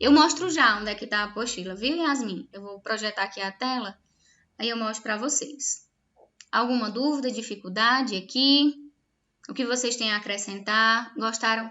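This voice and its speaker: A woman talks in an unremarkable speaking voice, fairly high-pitched, at a moderate pace. Her loudness swings widely while her pitch varies in an ordinary way. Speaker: nursing teacher. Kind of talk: online lecture.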